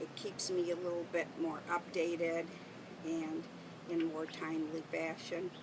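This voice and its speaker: A woman with an Upper Midwest accent, fairly low in pitch and monotone and flat, at a fairly slow pace over noticeable background noise. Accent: Upper Midwest American. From Detroit, Michigan, US. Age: 60s. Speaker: interviewee. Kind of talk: interview. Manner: halting.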